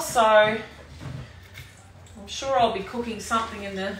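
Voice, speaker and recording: Speaking in an Australian accent, a woman talks at a fairly slow pace with a fairly high pitch and fairly even intonation, amid audible room echo and noticeable background noise. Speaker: cooking demonstrator, sales team leader. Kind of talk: live cooking demo stream. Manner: casual, chatty.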